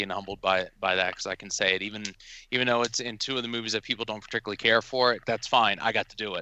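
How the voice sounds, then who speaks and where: A man talks at a very fast pace in a bright, sharp tone. The sound is dry and close with no echo, over a quiet background. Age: 30s. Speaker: horror fan and film location enthusiast. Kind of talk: casual chat. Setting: phone or online call.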